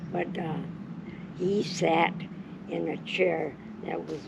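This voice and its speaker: Amid noticeable background noise and audible room echo, a woman with a fairly low pitch speaks at a very slow pace. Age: 90s. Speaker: grandmother telling stories. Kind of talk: casual chat.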